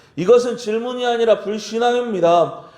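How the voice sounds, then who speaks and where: A man's high-pitched voice with audible room echo and noticeable background noise. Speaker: pastor. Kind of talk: sermon.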